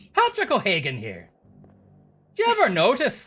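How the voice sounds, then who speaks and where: A put-on character voice, female-sounding, in an Irish accent at a moderate pace. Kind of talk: mock advertising voice.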